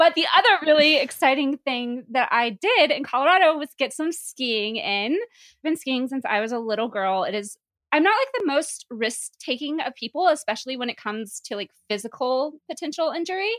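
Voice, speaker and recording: On a very clean recording with a silent background and a dry, close sound with no echo, a woman speaks at a moderate pace in a high voice with very wide pitch swings. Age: 30s. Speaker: podcast co-host. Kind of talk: casual chat.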